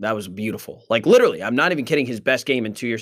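A man talks at a medium pitch in an animated tone. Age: 20s. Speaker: sports podcast host. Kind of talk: solo podcast monologue.

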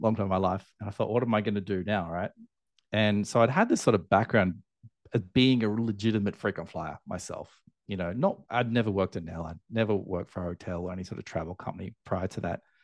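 Against a quiet background, a man with an Australian accent talks very fast at a fairly low pitch, keeping his intonation fairly even. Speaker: airline loyalty entrepreneur. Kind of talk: interview conversation.

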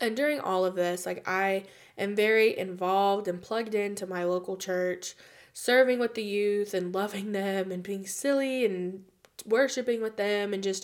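At a moderate pace, a woman with an American accent speaks in an ordinary speaking voice at medium pitch, her intonation fairly even, on a very clean recording with a silent background. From United States. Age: 20s. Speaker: podcast host. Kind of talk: testimony.

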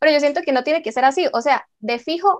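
A woman speaks with a Costa Rican accent. Her pitch variation is ordinary. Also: quiet background. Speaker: podcast host. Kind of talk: casual chat.

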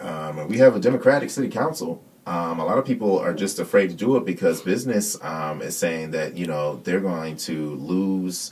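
In an American accent, a man with a very deep, low pitch speaks at a moderate pace with lively intonation. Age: 30s. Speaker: political candidate. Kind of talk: casual chat.

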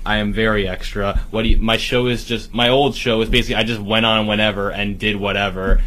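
A man's flat, monotone delivery amid noticeable background noise and audible room echo. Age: 30s. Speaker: podcaster. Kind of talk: casual chat.

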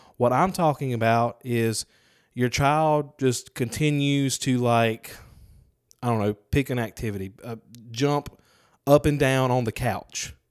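The recording is very clean, with a silent background. A man of medium pitch talks at a fairly slow pace with ordinary pitch variation. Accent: Southern US. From Mississippi, Lucedale. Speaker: podcast co-host. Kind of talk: casual chat.

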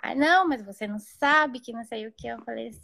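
A woman with a high pitch and a bright, sharp tone is heard in a dry, close sound with no echo. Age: 30s. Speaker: mother sharing birth story. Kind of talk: personal testimony.

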